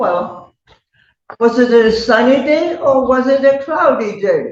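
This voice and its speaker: A woman with a high pitch speaks at a very slow pace. Her pitch varies in an ordinary way, and her loudness stays very even. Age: 80s+. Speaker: elderly tenant in court hearing. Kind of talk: courtroom testimony.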